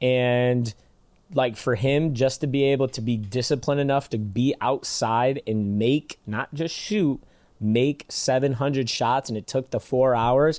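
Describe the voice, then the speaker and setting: A man with a Michigan accent, medium pitch, ordinary pitch variation and a fairly slow pace, in a dry, close sound with no echo and a quiet background. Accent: Michigan accent, nasal A's. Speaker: basketball skills trainer and podcast co-host. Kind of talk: casual podcast chat.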